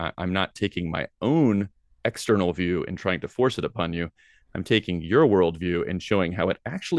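A plain, everyday voice with an American accent moves at a fairly quick pace with ordinary pitch variation, in a dry, close sound with no echo against a quiet background. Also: man. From US South, Tennessee. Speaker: philosophy professor. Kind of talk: interview. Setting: video call.

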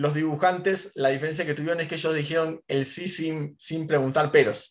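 Speaking in an Argentine accent, a man keeps his intonation fairly even. His pitch is fairly high and his pace moderate. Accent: Rioplatense Argentine Spanish. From Argentina, Mar del Plata. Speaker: cartoonist and muralist. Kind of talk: casual interview.

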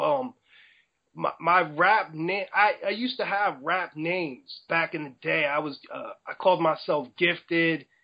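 A man with a New Jersey accent, high-pitched, at a fairly slow pace. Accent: New Jersey American English. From New Jersey, US. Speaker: rapper. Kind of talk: interview.

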